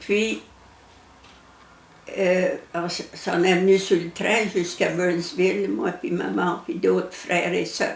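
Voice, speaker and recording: Speaking very slowly with long, frequent pauses, a woman talks in an Acadian accent amid audible room echo and noticeable background noise. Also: medium pitch for a woman, ordinary pitch variation. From Acadian New Brunswick, Canada. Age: 80s+. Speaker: elderly interviewee telling her life story. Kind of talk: personal life story interview. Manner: halting, with hesitations.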